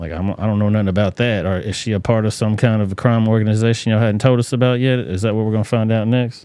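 A man with a Southern US accent talks at a very fast pace, barely pausing. His fairly low voice has a dark, mellow tone. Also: very clean recording, silent background. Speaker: livestream commentary host. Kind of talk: casual live commentary. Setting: livestream. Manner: animated.

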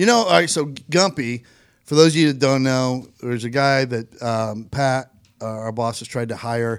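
An ordinary speaking voice from a man, medium in pitch, at a moderate pace with ordinary pitch variation, in a very clean recording against a silent background. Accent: American. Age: 40s. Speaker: podcast host. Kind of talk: casual chat. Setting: studio.

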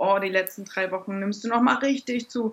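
Speaking at a fairly quick pace with fairly even intonation, a woman has a medium-pitched, ordinary speaking voice. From Germany. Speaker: blogger and new mother. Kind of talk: interview.

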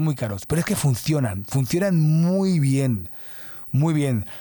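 A man's fairly high, somewhat breathy voice with a dark, mellow tone and lively intonation, on a very clean recording against a silent background. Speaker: podcast host, creative director. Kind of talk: casual monologue. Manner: halting, many restarts.

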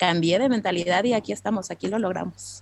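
In a central Mexican accent, a woman talks at a fairly quick pace with ordinary pitch variation and a dry, close sound with no echo. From Mexico (Mexico City area). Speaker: recruiter. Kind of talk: interview.

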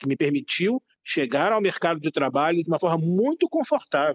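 The delivery moves at a moderate pace with lively intonation. The sound is dry and close, with no echo. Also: man. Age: 50s. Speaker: director, journalist and teacher. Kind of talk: interview discussion.

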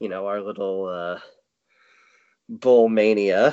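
A man speaks at a fairly slow pace in a fairly low voice. His intonation is monotone and flat. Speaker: podcast co-host. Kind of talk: casual chat.

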